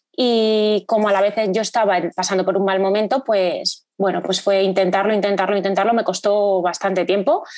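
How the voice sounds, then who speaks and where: A woman's medium-pitched voice, monotone and flat, at a moderate pace with hardly any pauses and very even loudness. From Spain, Salamanca. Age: 30s. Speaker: amateur runner. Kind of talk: podcast interview. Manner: hesitant, many fillers.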